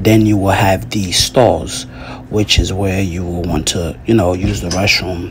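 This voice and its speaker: With light background noise, a man speaks in a very deep, low pitch. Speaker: fitness vlogger. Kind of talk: tutorial. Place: bathroom. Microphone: phone near.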